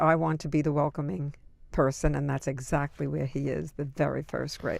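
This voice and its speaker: A woman's very deep, low voice with a New York accent and vocal fry, at a moderate pace in a very clean recording with a silent background. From Brooklyn, New York. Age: 70s. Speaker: interviewee. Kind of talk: oral history interview. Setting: recording booth.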